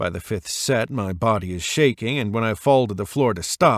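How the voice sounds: Text voiced in a natural reading voice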